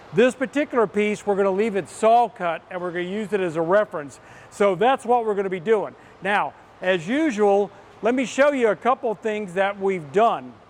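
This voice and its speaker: A man speaks in a high voice. His pace is moderate. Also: ordinary pitch variation. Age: 60s. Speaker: fabrication equipment company presenter. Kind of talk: product tutorial. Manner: casual and chatty.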